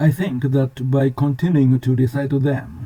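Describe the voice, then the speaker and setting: This man speaks at a fairly slow pace with a Japanese accent. His medium-pitched voice has a dark, mellow tone and is somewhat breathy. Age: 70s. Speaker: language learner sharing study tips. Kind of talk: scripted narration. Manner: formal.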